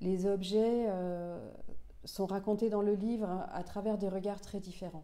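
A woman speaks at a very slow pace with a dark, mellow tone. Her pitch sits at a medium level and her intonation stays monotone and flat. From Senegal (Dakar area), Finnish-born. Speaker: author and journalist; journalist. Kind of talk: interview. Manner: halting, with frequent repetitions and fillers. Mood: calm, reflective. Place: home room.

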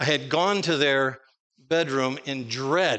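The tone is bright and sharp, with ordinary pitch variation. The pace is fairly slow. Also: man. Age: 60s. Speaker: preacher; conference preacher. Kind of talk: sermon. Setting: stage with audience. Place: church.

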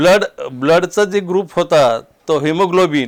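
A high-pitched man with ordinary pitch variation. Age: 60s. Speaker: cancer patient. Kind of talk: testimony. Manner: halting.

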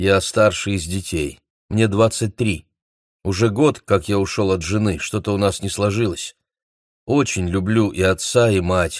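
On a very clean recording with a silent background, a man with a fairly low pitch speaks at a fairly slow pace, using ordinary pitch variation and long, frequent pauses. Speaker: audiobook narrator. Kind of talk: reading aloud.

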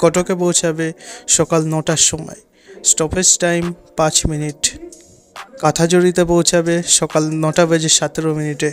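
Over music in the background, a man talks in a monotone, flat intonation. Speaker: timetable narrator. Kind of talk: voice-over reading a timetable.

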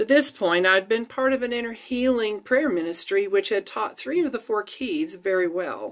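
A woman with a fairly high pitch talks at a moderate pace with lively intonation and hardly any pauses against a quiet background. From Florida, USA. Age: 50s. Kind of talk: read-aloud personal testimony blog. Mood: earnest, warm, reflective. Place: home room. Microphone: phone near.

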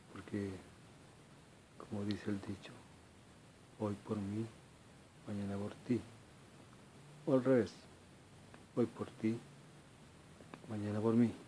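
Over light background noise, a man with a fairly low pitch talks at a very slow pace in a monotone, flat intonation, leaving long, frequent pauses. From Chile. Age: 40s. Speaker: video blogger. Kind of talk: personal monologue. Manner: halting. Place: home room. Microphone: phone near.

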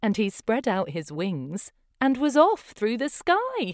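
With a fairly high pitch and very wide pitch swings, a woman talks slowly in a dry, close sound with no echo.

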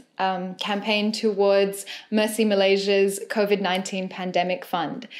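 Against a quiet background, the voice moves at a fairly slow pace with monotone, flat intonation. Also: woman. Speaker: poet. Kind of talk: spoken introduction to a poetry set. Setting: music accompaniment. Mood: warm, smiling. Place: home room.

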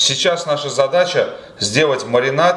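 Audible room echo surrounds this man's voice. He speaks at a moderate pace. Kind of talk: cooking tutorial. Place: home room.

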